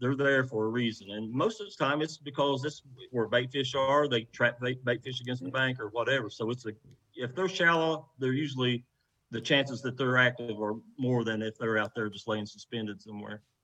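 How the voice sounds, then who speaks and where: Fairly quick speech from a man at a medium pitch, with ordinary variation in pitch. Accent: Appalachian. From West Virginia. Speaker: professional kayak angler. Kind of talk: casual chat.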